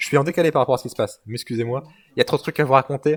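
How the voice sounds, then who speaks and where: Speaking at a medium pitch with ordinary pitch variation, a man sounds somewhat breathy in a dry, close sound with no echo. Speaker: esports commentator. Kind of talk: live commentary. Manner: fast; animated.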